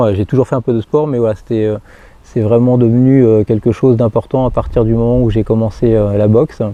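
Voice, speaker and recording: The voice has a dark, mellow tone and monotone, flat intonation, moving at a fairly quick pace. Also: man. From northeastern France, Marne / Seine-et-Marne. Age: 40s. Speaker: firefighter. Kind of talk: personal testimony interview. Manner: halting, many hesitations and repetitions.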